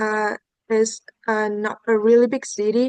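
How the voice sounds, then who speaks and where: The sound is dry and close with no echo as a woman with a Vietnamese accent speaks fairly slowly in a flat monotone, her pitch fairly high. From central Vietnam, Hà Tĩnh province. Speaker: student test taker. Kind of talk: exam answers. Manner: halting, many fillers.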